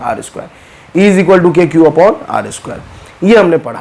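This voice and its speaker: A man talks at a fairly quick pace in a high voice. There is noticeable background noise. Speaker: physics teacher. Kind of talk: lecture.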